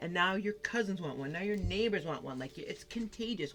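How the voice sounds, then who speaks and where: With music in the background, a woman in an American accent speaks with lively intonation. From Massachusetts, New England. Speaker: tarot card reader. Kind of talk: tarot reading. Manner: animated.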